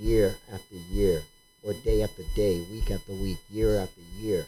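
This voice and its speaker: Lively in intonation, a man speaks with a fairly low pitch, a somewhat breathy quality and a dark, mellow tone. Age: 60s. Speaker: podcast host. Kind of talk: casual discussion.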